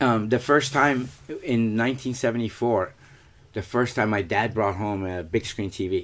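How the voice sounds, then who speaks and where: A man speaks with a Persian accent at a moderate pace. His pitch is medium, with ordinary variation. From Iran. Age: 50s. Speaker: former pro soccer player and coach. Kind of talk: casual interview.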